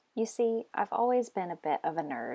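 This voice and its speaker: Here a woman speaks with an American accent. She keeps a moderate pace. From Texas, Austin. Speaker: research scientist. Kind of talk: scripted personal story.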